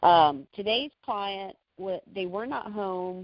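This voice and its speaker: Here, a woman speaks at a medium pitch. Her pace is fairly slow. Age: 50s. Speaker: personal chef. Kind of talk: casual chat.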